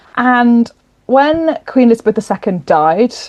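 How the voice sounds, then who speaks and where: With a British accent, a woman speaks in a dark, mellow tone, the sound dry and close with no echo. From southern England, Kent. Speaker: novelist and historian. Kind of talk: interview. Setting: podcast.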